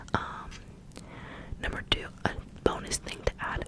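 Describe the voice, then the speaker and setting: Noticeable noise fills the background. A woman is whispering at a moderate speed. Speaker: ASMR creator. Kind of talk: ASMR show-and-tell talk. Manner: whispered; repetitive phrasing.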